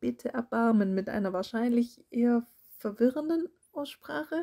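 The voice has a dark, mellow tone and is somewhat breathy, moving at a moderate pace. The sound is dry and close, with no echo. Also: woman. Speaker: audiobook narrator. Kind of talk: casual intro to listeners.

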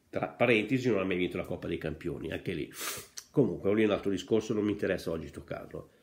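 At a very fast pace, a man speaks with a passionate tone, a fairly low pitch and ordinary pitch variation. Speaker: Inter fan vlogger. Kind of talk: angry football rant. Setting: home video monologue. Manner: passionate, scolding, emphatic; direct, addresses coach and fans. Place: home room. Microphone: earbuds.

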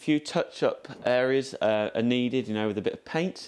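With an English accent, a man speaks at medium pitch. His pace is moderate and his pitch varies in an ordinary way. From England. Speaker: carriage restoration volunteer. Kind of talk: guided tour. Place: train.

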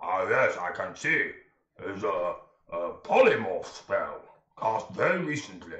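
Putting on a character voice, a man talks at a fairly slow pace with a slight echo. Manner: grandiloquent, courteous, formal diction.

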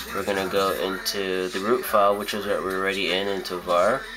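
Clear music plays in the background. A man speaks at a fairly quick pace. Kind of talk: tutorial. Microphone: phone near.

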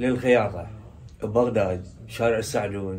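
With a Diyala accent, a man speaks at a fairly slow pace and with ordinary pitch variation. Light background noise can be heard. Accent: Iraqi Arabic, Diyala dialect. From Diyala, Iraq. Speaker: tailor. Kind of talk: interview answer. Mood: nostalgic, proud. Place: shop.

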